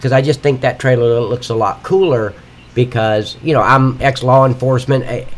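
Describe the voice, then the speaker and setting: Somewhat breathy, a man at medium pitch speaks at a moderate pace with ordinary pitch variation. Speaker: livestreaming game modder. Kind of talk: live stream tutorial. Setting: live stream at computer. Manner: casual, rambling with fillers.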